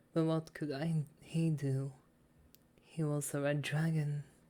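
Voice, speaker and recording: A soft-spoken woman's very deep, low voice, dark and mellow in tone, monotone and flat, at a very slow pace. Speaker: ASMR reader / VTuber. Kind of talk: soft story reading for sleep. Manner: soft-spoken, relaxing.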